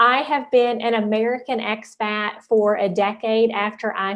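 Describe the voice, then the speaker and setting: In a Southern West Virginia accent, a woman with a fairly high pitch talks at a fairly slow pace in a monotone, flat intonation. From US South, southern West Virginia. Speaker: life coach and entrepreneur. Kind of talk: conference talk.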